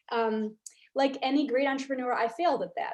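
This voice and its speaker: A fairly quick delivery in an American accent, with ordinary pitch variation. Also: woman. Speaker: real estate developer. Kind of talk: lecture. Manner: fast.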